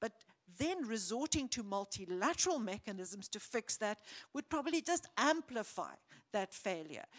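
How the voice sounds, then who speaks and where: A woman's fairly high voice with very wide pitch swings at a moderate pace, dry and close with no echo. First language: not English. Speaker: panelist. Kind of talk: panel discussion. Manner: halting.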